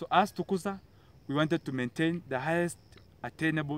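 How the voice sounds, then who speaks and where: Recorded dry with no echo, a man talks at a fairly quick pace with ordinary pitch variation. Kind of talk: speech to camera about achievements. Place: garden.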